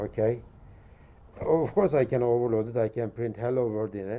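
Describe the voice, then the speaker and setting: Moderate pace from a man. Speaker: university lecturer. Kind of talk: lecture. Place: hall.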